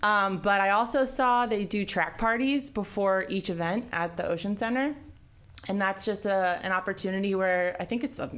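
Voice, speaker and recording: At a moderate pace, a woman uses a normal speaking voice with medium pitch and ordinary pitch variation. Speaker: radio co-host.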